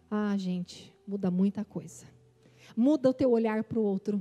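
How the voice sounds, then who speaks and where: Her dark, mellow voice carries an intense tone, and the woman's intonation is lively. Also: dry, close sound with no echo. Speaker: preacher. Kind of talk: sermon. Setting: church conference stage. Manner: fast.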